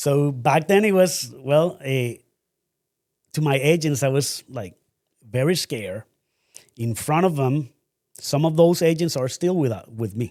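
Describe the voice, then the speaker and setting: In a Spanish accent, a man speaks at a fairly high pitch with lively intonation. His pace is fairly slow, with long, frequent pauses. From Colombia. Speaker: real estate broker and company owner. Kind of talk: interview. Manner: hesitant, with many fillers.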